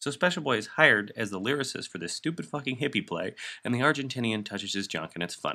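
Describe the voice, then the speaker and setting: Very fast and with very wide pitch swings, a man's bright, sharp tone comes through in a very clean recording with a silent background. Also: medium pitch for a man. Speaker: film reviewer. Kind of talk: casual comedic film review narration. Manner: subdued.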